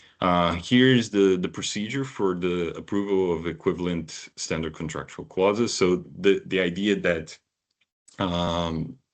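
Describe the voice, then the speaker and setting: Against a quiet background, a man with a very deep, low voice speaks at a fairly slow pace with ordinary pitch variation. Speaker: data protection regulator official. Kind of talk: webinar presentation. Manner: halting, many fillers.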